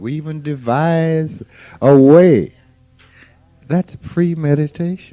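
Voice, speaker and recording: A man's fairly high-pitched voice is heard while music plays behind him. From US South, rural Mississippi. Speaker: spiritual teacher. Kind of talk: informal spiritual talk.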